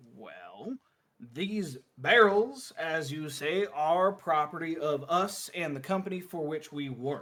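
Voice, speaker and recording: This is a put-on character voice. It moves at a fairly slow pace with ordinary pitch variation. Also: man, fairly high pitch for a man. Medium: actual play. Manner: wheedling, smug.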